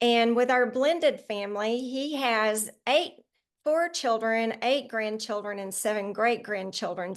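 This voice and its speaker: An unremarkable speaking voice from a woman, fairly high in pitch with ordinary pitch variation, moderate pace, and a quiet background. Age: 60s. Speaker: children's book author. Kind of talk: interview.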